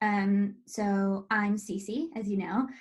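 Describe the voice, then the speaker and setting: This woman's pitch is fairly high. Some breathiness shows in her voice. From US, North Carolina. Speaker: estate planning business owner. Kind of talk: webinar presentation. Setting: online webinar. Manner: casual, with many fillers.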